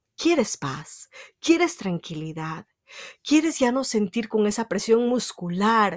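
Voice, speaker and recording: A woman speaks very slowly at a fairly high pitch, her pitch swinging very widely. The sound is dry and close, with no echo. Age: 30s. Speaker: podcast host, self-help speaker. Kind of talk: motivational monologue.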